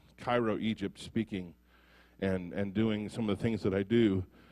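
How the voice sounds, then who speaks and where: A man with a fairly low voice speaks with an American accent. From US Midwest, Ottumwa, Iowa. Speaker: prison ministry speaker. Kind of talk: testimony. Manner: halting.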